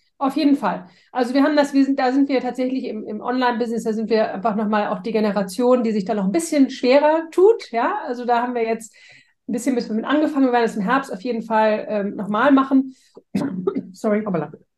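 Speaking at a very fast pace, a woman has a high pitch and ordinary pitch variation. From Hamburg, Germany. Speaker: strengths coach. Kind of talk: casual interview.

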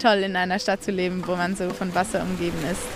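A woman speaks at a medium pitch. Noticeable background noise sits behind her. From Zurich, Switzerland. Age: 20s. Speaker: canoe polo athlete. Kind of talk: interview.

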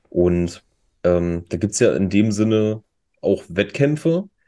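Here a man with a dark, mellow tone speaks at a fairly low pitch over a quiet background. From Saxony-Anhalt, Germany (Magdeburg). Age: 30s. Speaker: esports player and streamer. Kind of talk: casual chat. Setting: remote recording, virtual studio.

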